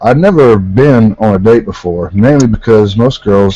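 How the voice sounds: The reading voice here is natural.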